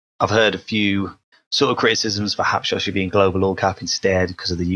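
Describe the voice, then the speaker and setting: With a British accent, a man talks at a fairly quick pace in a fairly low voice, the sound dry and close with no echo. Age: 20s. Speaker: podcast co-host. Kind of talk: casual chat.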